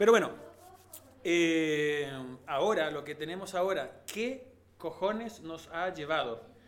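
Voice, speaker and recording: Speaking at a very slow pace with long, frequent pauses, a man with a Chilean accent uses a high pitch, lively intonation and big swings in loudness. Noticeable background noise and audible room echo fill the recording. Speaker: podcast host, musician. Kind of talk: casual chat.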